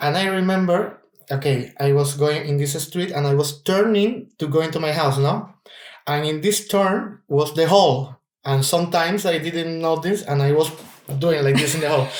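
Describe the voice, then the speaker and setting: A man's fairly high-pitched voice in a Spanish accent, moderate in pace with ordinary pitch variation. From Cuba. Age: 30s. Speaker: opera singer. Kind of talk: casual chat. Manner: halting.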